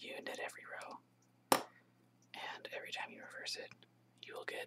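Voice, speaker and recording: A man whispers his words at a moderate pace. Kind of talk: instructional tutorial. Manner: whispering, soft-spoken.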